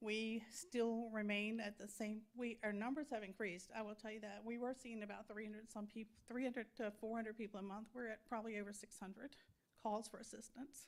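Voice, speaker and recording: A woman talks at a fairly quick pace. Her fairly high voice stays monotone and flat. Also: hardly any pauses. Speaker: nonprofit leader for veterans. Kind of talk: public comment at council meeting. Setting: town council meeting with audience. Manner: fast.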